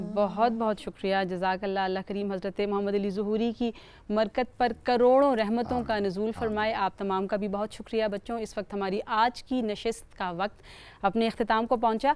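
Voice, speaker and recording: She has a fairly high pitch and ordinary pitch variation. The woman speaks at a fairly slow pace. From Pakistan. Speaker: TV host of a naat teaching show; TV show host. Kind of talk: TV program presenting. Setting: TV studio set with children. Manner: formal. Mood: warm, polite. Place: studio.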